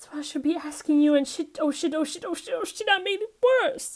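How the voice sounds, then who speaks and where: A woman's put-on character voice, extremely high in pitch, at a fairly quick pace. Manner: brittle, defensive.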